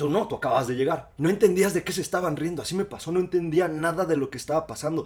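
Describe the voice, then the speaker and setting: A man speaks at a very fast pace in a high voice. His tone is animated, with ordinary pitch variation. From Mexico, Cuernavaca. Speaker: podcast co-host. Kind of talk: casual chat.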